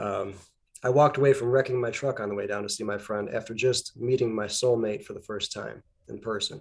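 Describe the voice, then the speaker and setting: Over a very clean recording with a silent background, a man with an ordinary speaking voice talks at medium pitch and a fairly quick pace, his intonation fairly even but his loudness swinging widely. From Canada, Alberta. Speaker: guest artist and rune practitioner. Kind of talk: casual chat.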